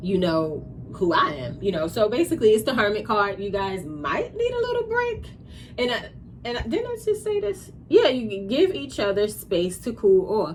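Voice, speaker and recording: Amid noticeable background noise, a woman talks at a moderate pace in an American accent. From New York. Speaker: tarot reader. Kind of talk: tarot reading. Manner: animated.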